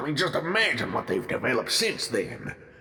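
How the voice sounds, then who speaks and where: A man performs a put-on character voice while faint music plays in the background. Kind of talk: audio drama. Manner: gruff, skeptical.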